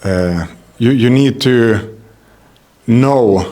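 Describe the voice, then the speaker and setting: A man speaks with a Swedish accent. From Sweden. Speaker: MMA fighter. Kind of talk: interview. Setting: fight week media, Paris. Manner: halting, many hesitations.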